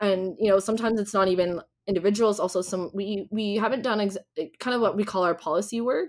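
A woman's normal speaking voice in a Canadian accent, medium in pitch with ordinary pitch variation, at a moderate pace. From Ontario, Canada. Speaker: nonprofit founder and diversity consultant. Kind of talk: interview.

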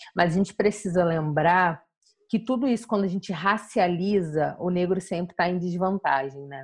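A woman speaks fairly low in pitch in an unremarkable speaking voice with ordinary pitch variation. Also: moderate pace. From São Gonçalo area, Rio de Janeiro, Brazil. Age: 20s. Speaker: journalist and activist. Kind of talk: interview conversation.

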